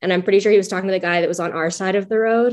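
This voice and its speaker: A woman's plain, everyday voice in an American accent, medium in pitch with fairly even intonation. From Florida panhandle, US. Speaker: travel podcast co-host. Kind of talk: casual interview chat. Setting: video call.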